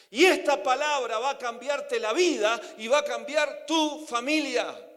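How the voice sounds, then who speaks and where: The intonation rises and falls in a lively way, and room echo can be heard around it. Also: man. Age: 60s. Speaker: preacher. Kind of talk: sermon.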